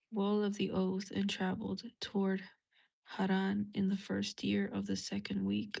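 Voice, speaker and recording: The speech has a fairly slow pace. The speaker is soft-spoken. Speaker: religious content creator. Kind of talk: reading aloud.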